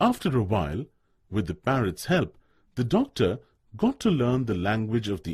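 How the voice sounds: Speech in a natural reading voice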